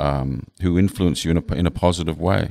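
With an English accent, a man talks at a moderate pace in a dry, close sound with no echo, on a very clean recording with a silent background. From England. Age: 50s. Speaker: designer. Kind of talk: casual interview. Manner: halting.

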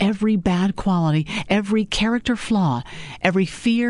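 A natural reading voice with ordinary pitch variation comes through.

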